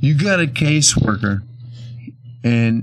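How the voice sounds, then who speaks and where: With an American accent, a man speaks at a medium pitch against noticeable background noise. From Bakersfield, California. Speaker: blues musician. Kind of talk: casual interview.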